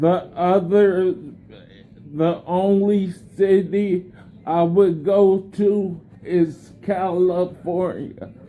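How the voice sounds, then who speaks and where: A man's high-pitched, dark and mellow voice, very slow, with long and frequent pauses, flat monotone intonation and very even loudness. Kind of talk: conversation with hospital staff. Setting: hospital room. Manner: halting.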